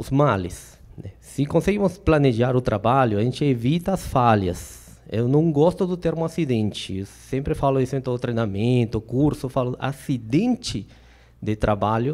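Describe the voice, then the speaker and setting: Speaking with a Peruvian accent, a man talks at a moderate pace and a medium pitch. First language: Spanish (speaking Portuguese). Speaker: safety trainer. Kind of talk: lecture. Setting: stage with audience. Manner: hesitant, many fillers.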